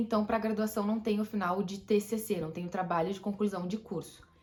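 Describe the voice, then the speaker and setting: Background noise is noticeable throughout. The words come at a fairly quick pace. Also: woman. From Brazil. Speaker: YouTuber. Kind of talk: informational vlog. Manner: fast; casual.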